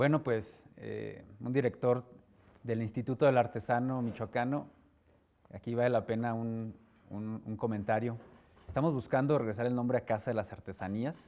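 The man's tone is dark and mellow. He keeps a moderate pace and fairly even intonation. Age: 30s. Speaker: director of a state crafts institute; interview guest. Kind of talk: interview. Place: studio. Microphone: lapel.

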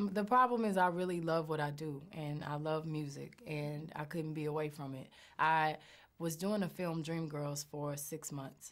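A woman's very deep, low voice, fairly slow, with ordinary pitch variation against a quiet background. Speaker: interviewee. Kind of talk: interview answer. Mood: warm, laughing. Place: home room.

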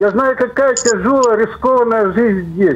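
The delivery is fairly slow, with fairly even intonation. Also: man. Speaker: caller. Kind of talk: call-in comment. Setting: phone call. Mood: earnest, reflective. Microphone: video call.

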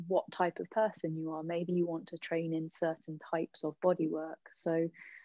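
In a dry recording with no echo and a quiet background, a woman with a fairly low pitch talks at a moderate pace. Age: 30s. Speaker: bodyworker and intimacy coach; intimacy coach. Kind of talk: interview. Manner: halting, many fillers and repetitions. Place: home room. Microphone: video call.

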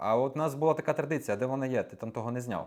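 The man speaks with ordinary pitch variation. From western Ukraine (Morshyn). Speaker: videographer. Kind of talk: interview. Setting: studio.

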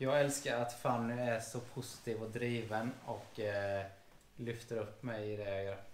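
A man speaks at a fairly slow pace and medium pitch in a monotone, flat intonation. There is audible room echo and light background noise. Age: 30s. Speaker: police officer and vlogger; vlogger. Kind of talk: casual chat. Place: home room. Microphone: camera far.

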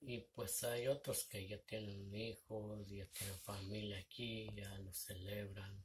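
Through noticeable background noise, a man talks at a very slow pace in a somewhat breathy, monotone voice with flat intonation. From Mexico. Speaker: vlogger. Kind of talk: casual vlog monologue. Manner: halting. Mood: reflective, somewhat sad. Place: home room. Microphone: phone near.

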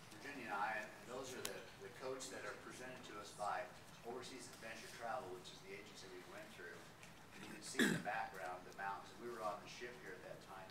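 Amid loud background noise, a man speaks at a very fast pace. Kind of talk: slide presentation talk. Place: meeting room. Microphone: camera far.

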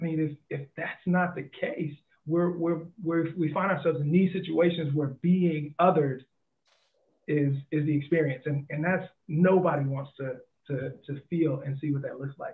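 Fairly even in intonation, a man speaks at a moderate pace. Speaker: podcast co-host. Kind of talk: casual chat. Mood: thoughtful, earnest. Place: home room. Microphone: headset.

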